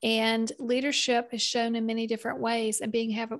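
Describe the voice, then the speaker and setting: A woman speaks at a moderate pace with a Southern US accent, her pitch fairly high. The recording is very clean, with a silent background. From US South, South Carolina. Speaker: business consultant and podcaster. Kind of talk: interview.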